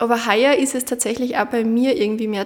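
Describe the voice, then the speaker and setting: Against noticeable background noise, a woman speaks at a fairly high pitch in a monotone, flat intonation. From Upper Austria, Munderfing. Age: 20s. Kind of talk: interview.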